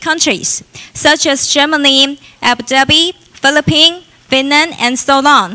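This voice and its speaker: Using a raised, projected voice, a woman with a Chinese accent speaks at a moderate pace in a high pitch with ordinary pitch variation. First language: Mandarin Chinese. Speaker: event host. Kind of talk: formal introduction.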